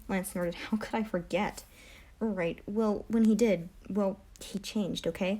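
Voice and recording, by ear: A natural voice reading aloud.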